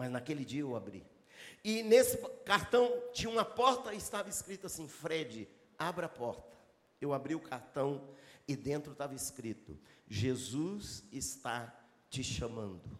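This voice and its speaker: Using an animated tone, a man with a fairly high pitch talks at a fairly slow pace, with very wide pitch swings and long, frequent pauses. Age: 60s. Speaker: pastor. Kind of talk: sermon. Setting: church with live congregation.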